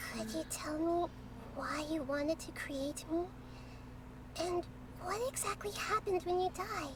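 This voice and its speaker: Using a put-on character voice, a female-sounding voice speaks at an extremely high pitch and a moderate pace, with long, frequent pauses over loud background noise. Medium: video game. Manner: soft, curious.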